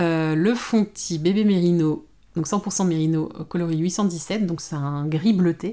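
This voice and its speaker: A woman with a dark, mellow tone speaks at a fairly low pitch, with ordinary pitch variation. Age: 30s. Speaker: knitting YouTuber; knitting vlogger. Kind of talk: casual vlog monologue. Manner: hesitant, many fillers and repetitions. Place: home room. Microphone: phone near.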